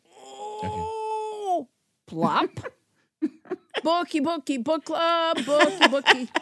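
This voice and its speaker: Using a put-on character voice with an extremely high pitch, the speaker goes very slowly with long, frequent pauses. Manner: clucking, playful.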